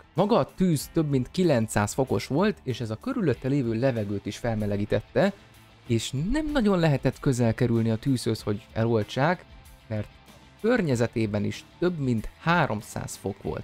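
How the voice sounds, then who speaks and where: A man talks at a fairly slow pace. Faint music plays in the background. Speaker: YouTube educator. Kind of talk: explainer narration. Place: home room. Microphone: studio mic.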